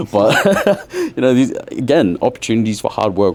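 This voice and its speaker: A man in an Australian accent speaks at a moderate pace. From Brisbane, Australia. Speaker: rapper. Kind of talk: podcast interview.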